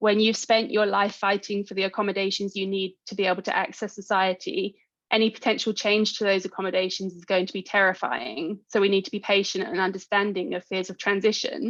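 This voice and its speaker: A woman at a medium pitch speaks fairly quickly in a monotone, flat delivery, her loudness swinging widely against a quiet background. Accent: British. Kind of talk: conference talk. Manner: fast.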